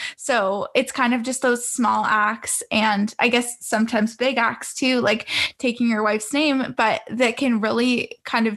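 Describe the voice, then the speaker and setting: At a moderate pace, a woman with a Canadian accent speaks in a fairly high pitch, her intonation monotone and flat. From Canada, Greater Toronto Area. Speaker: podcast host. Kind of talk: interview.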